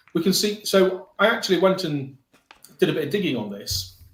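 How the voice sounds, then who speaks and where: A man talks at a moderate pace. He speaks in a northern English accent. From northern England. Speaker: mortgage broker. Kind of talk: podcast discussion. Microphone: poor microphone and no headphones.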